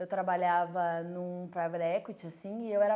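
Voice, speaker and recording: This is a plain, everyday voice. It moves at a medium tempo. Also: woman. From southern Brazil, Rio Grande do Sul (Caxias do Sul). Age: 30s. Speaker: entrepreneur, brewery co-founder. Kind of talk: personal testimony. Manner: casual, with frequent fillers.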